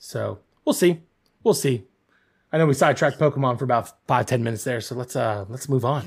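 A man speaks at a fairly quick pace and a medium pitch, somewhat breathy, with ordinary pitch variation. He leaves long, frequent pauses on a very clean recording with a silent background. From moved around, New England upbringing. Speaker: gaming podcast co-host. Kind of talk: casual chat.

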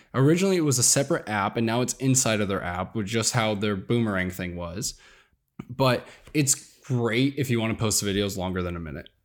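An unremarkable speaking voice from a man, medium in pitch, with lively intonation at a fairly quick pace, on a very clean recording with a silent background. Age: 20s. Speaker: social media content creator. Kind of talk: casual interview.

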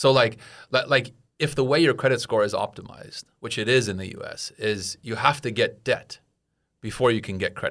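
An unremarkable speaking voice from a man at medium pitch, fairly quick, with ordinary pitch variation and big swings in loudness. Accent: American. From United States. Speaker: expat in Taiwan, podcast guest. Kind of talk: casual chat.

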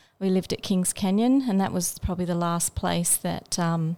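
The speaker has an Australian accent and talks at a fairly quick pace. Pitch variation is ordinary. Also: woman. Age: 50s. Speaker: special education teacher. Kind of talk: interview.

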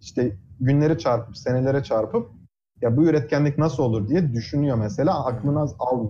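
A man at medium pitch has a dark, mellow tone that is somewhat breathy. He keeps a moderate pace, ordinary pitch variation and very even loudness. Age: 20s. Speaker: physics PhD student. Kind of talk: casual interview. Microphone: audio cutting out on Discord.

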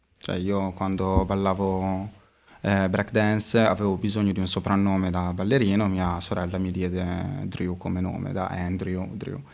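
Heard with audible room echo, a man with a very deep, low voice speaks fairly slowly in a flat monotone. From Modena, Emilia-Romagna, Italy. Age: 20s. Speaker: street artist and illustration teacher. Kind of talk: casual interview chat. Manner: hesitant, many fillers.

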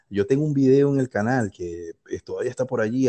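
A man with a Venezuelan accent, a dark, mellow tone, ordinary pitch variation, and a dry, close sound with no echo. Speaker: fitness YouTuber. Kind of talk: casual chat.

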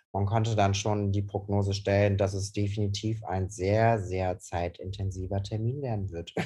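On a very clean recording with a silent background, a somewhat breathy voice with a dark, mellow tone runs at a moderate pace with hardly any pauses and monotone, flat intonation. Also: man, fairly low pitch for a man. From Cologne, Germany. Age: 20s. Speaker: hairdresser. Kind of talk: casual chat.

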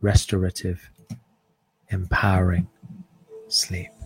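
Very slow and somewhat breathy, a man speaks in a very deep, low pitch with a soothing tone and monotone, flat intonation. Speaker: podcast host and meditation guide. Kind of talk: guided meditation. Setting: live stream with background music. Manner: slow, soft, soothing, with long pauses.

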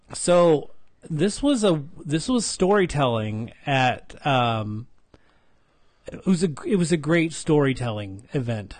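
In a plain, everyday voice, a man with fairly high pitch talks at a fairly slow pace with lively intonation. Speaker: podcast host. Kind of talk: casual chat. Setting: recorded in Las Vegas, Henderson.

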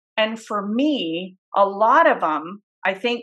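This woman's voice has a bright, sharp tone. Her pitch varies in an ordinary way. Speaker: podcast host. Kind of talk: casual chat.

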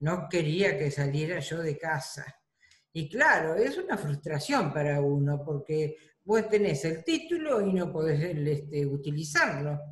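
Speaking in a Rioplatense accent, a woman uses a very deep, low pitch with ordinary pitch variation at a fairly slow pace. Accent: Argentine Spanish (rioplatense). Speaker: retired bank employee, grandmother. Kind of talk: interview, personal recollection.

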